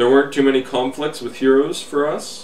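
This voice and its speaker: A man talks at a moderate pace with a Canadian accent. Noticeable background noise runs through the clip. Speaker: hobby video blogger. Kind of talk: casual video letter monologue.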